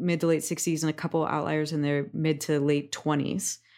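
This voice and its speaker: With an American accent and a plain, everyday voice, a woman talks at fairly low pitch and a fairly quick pace. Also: very clean recording, silent background. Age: 40s. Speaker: somatic coach. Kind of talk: interview conversation.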